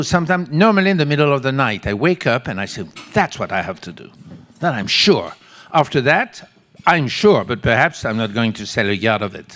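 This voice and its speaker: Speaking fairly quickly with a French accent, a man with medium pitch makes very wide pitch swings and big swings in loudness. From France. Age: 70s. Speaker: textile company creative director. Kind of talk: audience Q&A at a panel. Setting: stage with audience.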